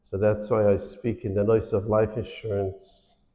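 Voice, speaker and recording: A man's fairly low, dark, mellow voice in monotone, flat intonation at a fairly slow pace, with audible room echo. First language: Yiddish. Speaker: financial awareness speaker. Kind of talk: lecture. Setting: synagogue hall with audience.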